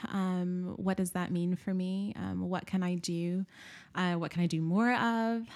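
In a very clean recording with a silent background, a woman with an American accent speaks fairly slowly at a medium pitch with fairly even intonation. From US South, Nashville, Tennessee. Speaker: academic researcher and church leader. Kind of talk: casual interview chat.

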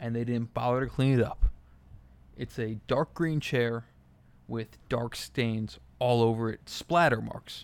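Pausing long and often, a man speaks at a fairly slow pace with medium pitch and fairly even intonation. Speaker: solo podcaster. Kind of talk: casual monologue. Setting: hotel room. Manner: speaking quietly.

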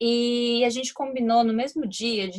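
A woman's somewhat breathy voice. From Brazil, São Paulo. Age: 20s. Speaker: podcast co-host, psychology student. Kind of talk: storytelling.

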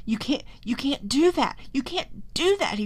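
A female-sounding put-on character voice, high in pitch, speaks at a fairly slow pace. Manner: crying out in panic.

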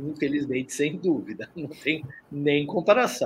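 The man speaking has a fairly high pitch. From Brazil, São Paulo. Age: 60s. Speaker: artist. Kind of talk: interview.

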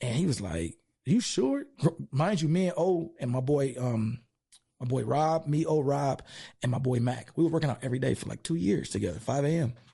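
A man with an American accent speaks at a moderate pace in a dark, mellow, somewhat breathy voice. His intonation is lively. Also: medium pitch for a man. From East Los Angeles. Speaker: gym owner and strength coach. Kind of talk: casual interview.

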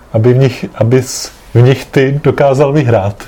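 A man's medium-pitched voice with fairly even intonation over noticeable background noise. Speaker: podcast host, grandson. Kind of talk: family interview. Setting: home apartment.

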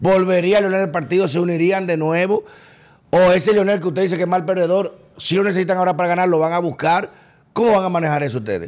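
At a very fast pace, a man speaks in a high pitch with fairly even intonation. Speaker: podcast host. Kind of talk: political interview. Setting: studio.

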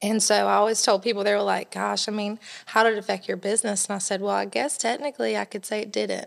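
Speech comes at a very fast pace in a Southern US accent. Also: woman. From US South, South Carolina (near Columbia). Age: young. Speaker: bridal shop owner. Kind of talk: casual interview.

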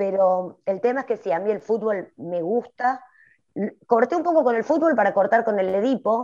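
A woman with a dark, mellow tone and fairly high pitch speaks at a moderate pace with lively intonation. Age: 40s. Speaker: writer. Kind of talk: casual chat.

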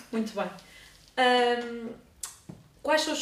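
A woman talks with audible room echo and noticeable background noise behind her. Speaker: student interviewer. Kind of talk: interview. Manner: reading aloud.

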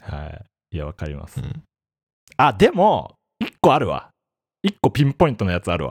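With vocal fry and very wide pitch swings, a man talks at a fairly quick pace with long, frequent pauses and big swings in loudness in a dry, close sound with no echo. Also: medium pitch for a man. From Japan, Ibaraki (Hitachi). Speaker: podcast host. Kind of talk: casual chat. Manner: animated.

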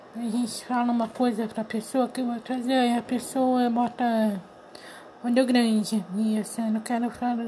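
A high-pitched woman talks at a fairly slow pace. Noticeable background noise can be heard. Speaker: podcast host and aspiring writer. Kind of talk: unscripted solo monologue. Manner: halting, many fillers; louder after adjusting.

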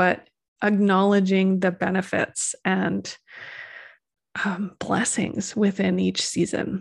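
A woman at a medium pitch, very slow pace, long and frequent pauses, monotone flat intonation, very even loudness and a quiet background. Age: 40s. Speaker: EFT practitioner and numerologist podcast host. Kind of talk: casual solo talk / livestream monologue.

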